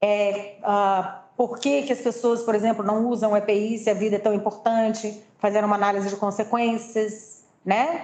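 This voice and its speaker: A woman talks in a normal speaking voice at a fairly high pitch. Her intonation is fairly even, her pace moderate, and she hardly pauses at all. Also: very even loudness. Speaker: presenter at staff training session. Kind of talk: presentation.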